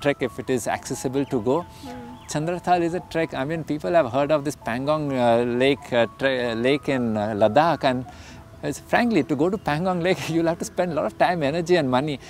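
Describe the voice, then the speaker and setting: Talking at a fairly quick pace with ordinary pitch variation, a man is heard in a dry, echo-free sound with faint music in the background. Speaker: trek company guide or founder. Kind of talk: interview answer. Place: garden.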